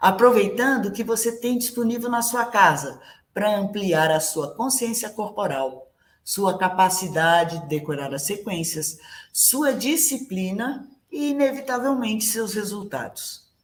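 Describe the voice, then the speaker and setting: Very wide pitch swings at a fairly slow pace. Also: woman, fairly high pitch for a woman. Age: 60s. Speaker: ballet teacher. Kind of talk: online class presentation.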